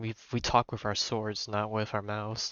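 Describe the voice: The voice has a fairly bright, clear, smooth tone and a moderate pace.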